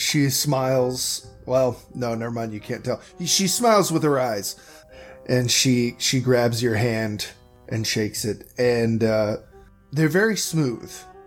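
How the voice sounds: A man talks at a slow pace with a medium pitch and ordinary pitch variation. Faint music plays in the background.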